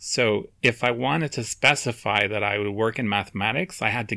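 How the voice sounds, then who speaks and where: Over a silent background on a very clean recording, a man with an American accent talks at a moderate pace in a plain, everyday voice, medium-pitched with ordinary pitch variation. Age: 40s. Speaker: podcast co-host, mathematician. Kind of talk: casual chat.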